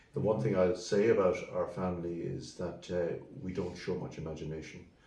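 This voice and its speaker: With a western Irish accent, a man speaks at a fairly quick pace in a very deep, low voice that is dark, mellow and somewhat breathy, with ordinary pitch variation and audible room echo. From Ireland, County Mayo (Swinford). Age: 70s. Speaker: solicitor. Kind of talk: interview. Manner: halting.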